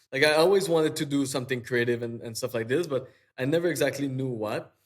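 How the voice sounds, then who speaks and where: A man with a strong French accent speaks at a very fast pace with ordinary pitch variation. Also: medium pitch for a man. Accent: thick French. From Quebec, Eastern Townships. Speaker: digital artist. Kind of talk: interview conversation. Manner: halting, many fillers and repeats.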